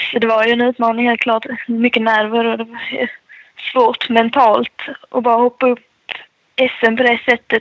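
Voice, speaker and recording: A woman at a moderate pace, monotone and flat in intonation, very even in loudness, with a dry, close sound and no echo. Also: fairly high pitch for a woman. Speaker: motocross rider. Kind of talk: interview.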